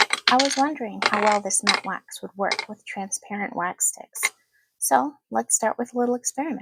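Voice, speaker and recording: A soft-spoken woman talks with big swings in loudness. The sound is dry and close, with no echo. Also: moderate pace. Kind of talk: soft-spoken ASMR wax sealing demonstration.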